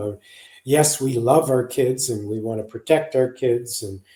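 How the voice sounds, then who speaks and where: The voice has an American accent, a dark, mellow tone, a somewhat breathy quality and ordinary pitch variation. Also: man. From US. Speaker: psychologist, parenting author. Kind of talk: podcast interview.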